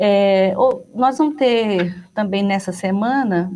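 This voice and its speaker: This woman has a medium-pitched voice. Its pitch variation is ordinary. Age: 50s. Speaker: university rector. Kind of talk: radio interview. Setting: radio studio. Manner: halting, many fillers.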